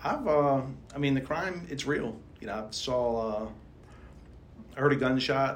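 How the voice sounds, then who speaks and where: The speaker has a Baltimore accent and ordinary pitch variation. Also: man. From Baltimore, Maryland. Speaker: podcast guest, landlord. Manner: casual, conversational, heavy use of "you know" fillers.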